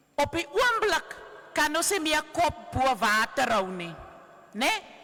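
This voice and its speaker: A woman speaks very slowly in a raised, projected voice. Noticeable background noise is present. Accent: Cape Town. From South Africa, Cape Town. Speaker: trade union activist. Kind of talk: rally speech.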